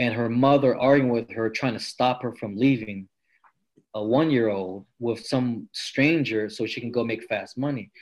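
A man with an American accent has an unremarkable speaking voice at medium pitch. He talks at a moderate pace with fairly even intonation against a quiet background. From California, Stockton area. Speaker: powerlifter and police officer. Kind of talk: interview, personal story.

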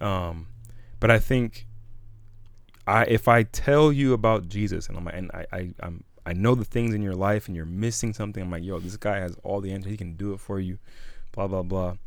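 Speaking at a moderate speed, the man uses a normal speaking voice that sits fairly low, its pitch moving in an ordinary way. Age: 20s. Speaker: youth minister and podcast co-host. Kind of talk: casual chat.

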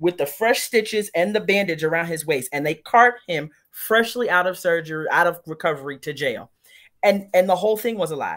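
A woman's fairly low, animated voice with lively intonation at a fairly quick pace, on a very clean recording with a silent background. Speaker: guest co-host. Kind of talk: casual chat.

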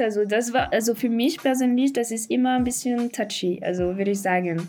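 A woman with a French accent, moderate in pace, with ordinary pitch variation. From France, Paris. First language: French (speaking German). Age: 20s. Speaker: podcast guest. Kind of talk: interview. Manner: halting.

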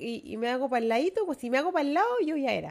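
Very wide pitch swings in a Chilean accent. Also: woman. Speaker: podcast co-host. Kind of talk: casual chat.

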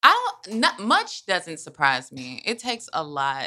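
A woman's fairly low voice, bright and sharp in tone, at a fairly slow pace. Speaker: podcast co-host. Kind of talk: casual chat.

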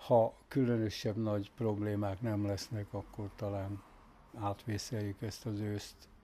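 A man talks at a very slow pace with a fairly low pitch and a dark, mellow tone. His intonation is monotone and flat. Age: 80s+. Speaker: retired factory foreman. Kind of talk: casual interview.

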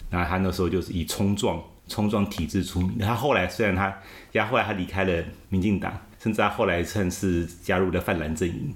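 Fairly even intonation runs through speech delivered at a fairly quick pace. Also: man, very deep, low pitch for a man. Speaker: former political party spokesperson. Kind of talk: interview. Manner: halting.

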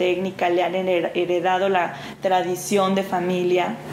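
Talking at a very slow pace, a woman uses a medium pitch. The room echo is audible, and background noise is noticeable. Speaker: actress and clown performer. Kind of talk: interview. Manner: hesitant, many fillers.

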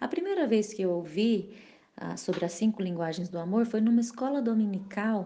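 A woman talks at a moderate pace with a dark, mellow tone. Her pitch sits in the middle range and varies in an ordinary way. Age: 30s. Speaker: married mother, church mentor. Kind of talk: casual chat.

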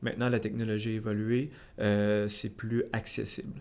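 Against a silent background in a very clean recording, a man talks at a fairly slow pace. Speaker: podcast host. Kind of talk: casual interview.

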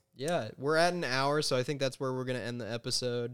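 He talks fairly quickly with a plain, everyday voice. His medium-pitched delivery has fairly even intonation. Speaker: podcast host. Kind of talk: casual comedic banter. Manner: deadpan, sarcastic.

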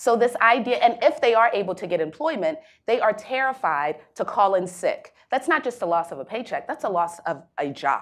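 A woman with an American accent talks at a moderate pace, with hardly any pauses. Her fairly high voice swings very widely in pitch. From Baltimore, Maryland, US. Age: young. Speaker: nonprofit executive director. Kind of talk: panel discussion.

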